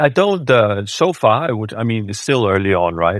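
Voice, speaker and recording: A man talks with a Danish accent. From Denmark. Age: 50s. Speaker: tech company CEO. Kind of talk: interview.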